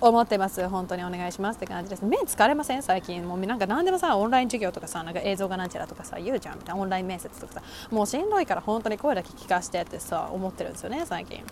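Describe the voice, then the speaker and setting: Amid noticeable background noise, a medium-pitched woman talks at a very fast pace with hardly any pauses, ordinary pitch variation and big swings in loudness. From Japan. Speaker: podcast host, university student. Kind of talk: casual monologue. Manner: animated.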